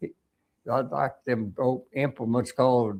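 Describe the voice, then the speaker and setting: This man speaks at a medium pitch with an Arkansas accent and ordinary pitch variation. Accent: rural Southern US (Arkansas). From Arkansas, US South. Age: 90s. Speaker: war veteran. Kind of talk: interview. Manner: halting.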